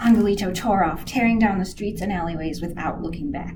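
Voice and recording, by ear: Reading aloud in a natural voice, the pitch varying in an ordinary way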